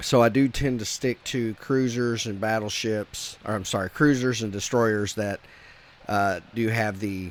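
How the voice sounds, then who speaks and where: A man with a Texas accent talks at a fairly slow pace, using a medium pitch and fairly even intonation. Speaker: gaming content creator. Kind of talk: casual gameplay commentary. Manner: halting, many fillers and repetitions.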